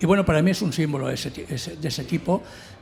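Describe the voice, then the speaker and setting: Somewhat breathy, a man speaks fairly quickly with ordinary pitch variation. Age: 60s. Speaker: novelist on a literary panel. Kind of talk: round table discussion.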